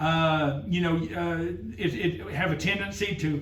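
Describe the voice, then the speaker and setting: A man speaks loudly at a high pitch with fairly even intonation, and audible room echo surrounds him. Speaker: driver safety trainer. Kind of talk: workplace safety meeting presentation. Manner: halting, many fillers; talking loud.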